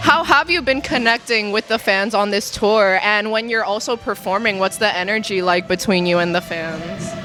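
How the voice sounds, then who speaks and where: A woman talks with hardly any pauses. Music plays in the background. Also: medium pitch for a woman, lively intonation, moderate pace. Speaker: music interviewer. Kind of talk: interview.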